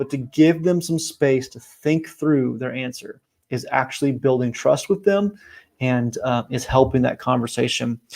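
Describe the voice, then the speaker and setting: An ordinary speaking voice from a man, medium in pitch, at a moderate pace, with ordinary pitch variation and big swings in loudness. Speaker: team coach. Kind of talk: motivational talk.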